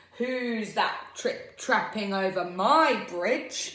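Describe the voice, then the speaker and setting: A woman bellows in a gruff, put-on character voice with a fairly high pitch. She goes at a very slow pace, with a slight echo. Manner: roaring, gruff.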